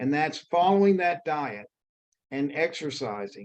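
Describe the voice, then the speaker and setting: In an American accent, a man speaks at a moderate pace and a fairly high pitch. His is a plain, everyday voice with ordinary pitch variation. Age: 60s. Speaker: fitness coaching client. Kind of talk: testimonial interview.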